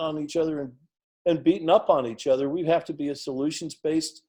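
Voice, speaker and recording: In an American accent, a man with a dark, mellow tone and fairly high pitch speaks at a moderate pace on a very clean recording with a silent background. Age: 60s. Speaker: political candidate. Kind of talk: interview.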